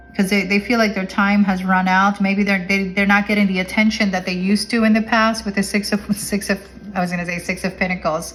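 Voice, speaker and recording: Amid noticeable background noise, a woman rattles off words at a very fast pace with a medium pitch and monotone, flat intonation. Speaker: tarot reader. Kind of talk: tarot reading monologue. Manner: halting, self-correcting.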